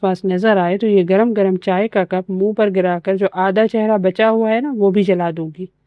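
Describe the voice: The voice is plain reading aloud. Its intonation stays fairly even.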